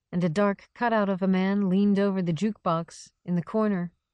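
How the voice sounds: A natural reading voice, its intonation fairly even, sits over a quiet background.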